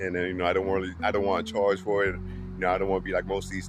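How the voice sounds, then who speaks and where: A man speaks with a New Orleans accent. Music plays in the background. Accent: New Orleans Southern US English. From US South, New Orleans, Louisiana. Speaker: English teacher for Spanish speakers. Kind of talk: casual talk to camera. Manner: casual, many fillers and restarts.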